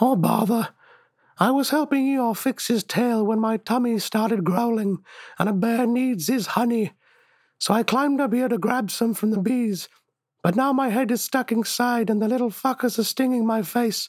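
Here is a put-on character voice at a fairly high pitch. It moves at a moderate pace. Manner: apologetic, whiny.

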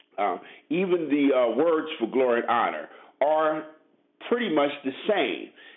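There is audible room echo as a man with an American accent talks at a fairly slow pace, using lively intonation and long, frequent pauses. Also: fairly high pitch for a man. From Brooklyn, New York City. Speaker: lay preacher. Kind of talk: sermon. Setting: phone call.

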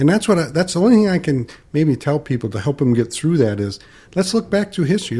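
With an American accent, a man talks at a fairly quick pace in a dark, mellow, somewhat breathy voice that makes very wide pitch swings. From Michigan, US Midwest. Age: 60s. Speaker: financial advisor. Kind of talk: casual chat.

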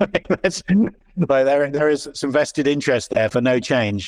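Against a quiet backdrop, the talking proceeds at a medium tempo. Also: man. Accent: British. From Britain. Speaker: startup founder and CEO. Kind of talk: interview.

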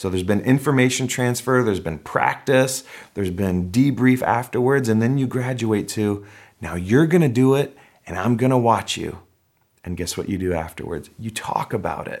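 With an animated tone and ordinary pitch variation, a man of medium pitch talks at a moderate pace on a very clean recording with a silent background. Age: 40s. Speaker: pastor. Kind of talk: sermon.

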